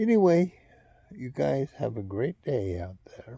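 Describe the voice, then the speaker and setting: At a fairly slow pace, a man speaks in a somewhat breathy voice with a dark, mellow tone. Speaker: vlogger. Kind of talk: casual monologue. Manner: low tones.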